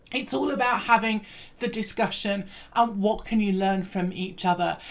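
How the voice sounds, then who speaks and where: A woman with a British accent speaks in an upbeat tone at a moderate pace. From England. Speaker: learning and development trainer. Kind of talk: recorded presentation.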